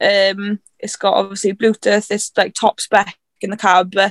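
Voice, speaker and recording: The recording has a dry, close sound with no echo as a woman speaks at a moderate pace. Her medium-pitched voice stays monotone and flat. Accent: South Welsh. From South Wales, Carmarthenshire. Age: 20s. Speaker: farm worker and tractor driver. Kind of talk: casual chat.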